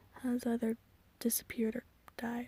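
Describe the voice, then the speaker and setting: A woman's quiet, growling character voice, high-pitched and flat in a monotone, at a moderate pace, dry and close with no echo. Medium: read story. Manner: quiet, grave.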